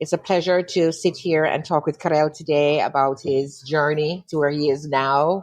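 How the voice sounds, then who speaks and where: On a dry, close sound with no echo, a woman with a very deep, low pitch speaks at a moderate pace in a fairly even intonation. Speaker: interviewer, host. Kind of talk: interview questions.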